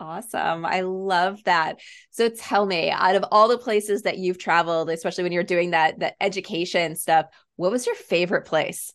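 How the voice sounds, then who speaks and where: Against a quiet background, a woman with an American accent talks at a moderate pace in a medium pitch with an animated tone. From New York. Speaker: podcast host. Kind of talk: podcast interview.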